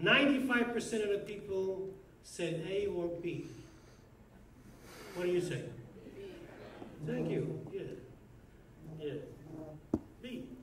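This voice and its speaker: A man with an American accent and a high pitch speaks at a fairly slow pace with ordinary pitch variation, amid audible room echo and noticeable background noise. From New York (Brooklyn). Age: 70s. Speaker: rabbi. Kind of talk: speech at own birthday party.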